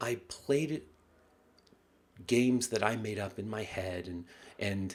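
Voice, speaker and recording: An American accent marks this man's speech. His pitch is fairly low, with ordinary pitch variation. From US South, rural. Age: 30s. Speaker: novelist. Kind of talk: vlog message to readers. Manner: halting.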